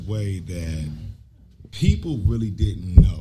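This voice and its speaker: A man speaks at a very slow pace. There is audible room echo. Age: 40s. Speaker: podcast co-host. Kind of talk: live podcast panel talk. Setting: brewery with live audience.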